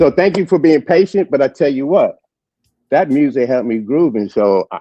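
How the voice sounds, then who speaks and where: A man with an American accent speaks at a moderate pace with fairly high pitch and lively intonation. Music plays in the background. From New York City, South Bronx. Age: 70s. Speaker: birthday guest on a morning show. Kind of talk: casual chat. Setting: hotel lounge, online stream.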